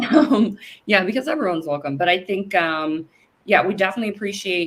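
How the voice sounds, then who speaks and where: A woman speaks at a fairly quick pace with a Californian accent. Her pitch varies in an ordinary way. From US West Coast, San Francisco Bay Area. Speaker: lawyer and cannabis business founder. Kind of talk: interview.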